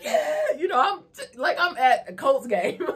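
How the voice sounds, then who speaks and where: Shouting in an extremely high pitch, a woman sounds animated against noticeable background noise. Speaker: vlogger. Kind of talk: casual chat. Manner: loud.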